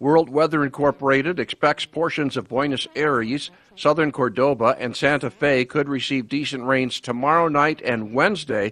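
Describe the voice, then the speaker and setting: A man with a fairly high pitch speaks at a moderate pace with hardly any pauses. He has an ordinary speaking voice and fairly even intonation, and the sound is dry and close with no echo. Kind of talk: weather and agricultural report read in a studio broadcast. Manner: clear, steady, formal newscaster pace.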